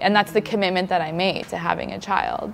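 In a Canadian accent, a woman speaks with a normal speaking voice at a medium pitch and ordinary pitch variation. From Canada. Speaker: nurse and new mother. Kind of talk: casual chat. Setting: stage with audience.

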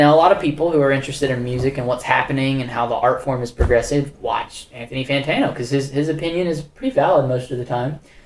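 A man's fairly high voice at a very fast pace, with hardly any pauses, fairly even intonation and noticeable background noise. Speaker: podcast co-host. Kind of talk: casual conversational podcast chat.

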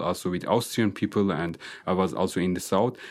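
A man with an Azerbaijani accent speaks at a very deep, low pitch with fairly even intonation, in a very clean recording with a silent background. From northern Iran (Azeri-speaking). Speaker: engineering researcher. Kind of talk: interview. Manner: halting, many fillers.

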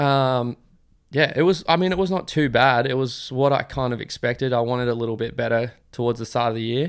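In a very clean recording with a silent background, a man with an Australian accent speaks at a fairly quick pace, his medium pitch varying in an ordinary way. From Australia, Queensland. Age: 20s. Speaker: professional motocross rider. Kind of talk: casual interview chat.

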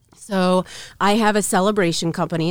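Speaking at a fairly quick pace, a woman uses a normal speaking voice with a fairly low pitch. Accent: American. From Council Bluffs / Omaha, US Midwest. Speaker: entrepreneur, gift business owner. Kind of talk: casual interview chat.

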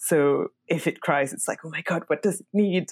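Talking with a French accent, a woman uses a fairly low pitch and ordinary pitch variation. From France. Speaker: podcast host. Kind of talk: casual chat.

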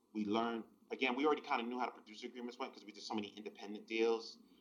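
Monotone, flat intonation marks this man's speech in a New York accent. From New York City (the Bronx). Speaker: hip-hop and R&B producer. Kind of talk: casual interview chat.

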